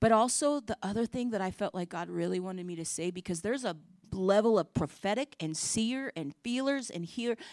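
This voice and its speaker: A woman's fairly high voice with very wide pitch swings, on a very clean recording with a silent background. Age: 50s. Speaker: preacher. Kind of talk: sermon.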